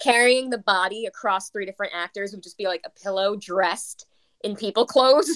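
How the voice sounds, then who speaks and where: Recorded with a dry, close sound and no echo, a woman with an unremarkable speaking voice talks at a fairly quick pace and medium pitch, with ordinary pitch variation and big swings in loudness. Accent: American. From US Northeast (South Brooklyn, New York). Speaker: stage manager and performer. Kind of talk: casual chat.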